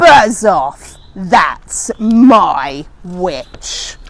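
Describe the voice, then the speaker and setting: In a put-on character voice, the speaker sounds croaky, growling and shrill, fairly high in pitch with very wide pitch swings. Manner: fierce, protective, rude.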